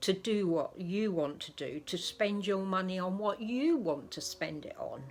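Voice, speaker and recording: This woman has an English accent and a medium pitch with lively intonation. She talks at a fairly slow pace with hardly any pauses. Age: 70s. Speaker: doll collector vlogger. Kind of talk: casual vlog talk. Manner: soft-spoken.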